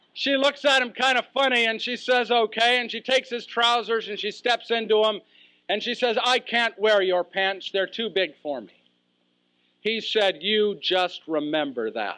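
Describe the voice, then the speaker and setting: A man's raised, projected voice, high in pitch, with a bright, sharp tone, ordinary pitch variation, a moderate pace, and a very clean recording with a silent background. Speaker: professional speaker. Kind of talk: humorous keynote speech story. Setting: live audience.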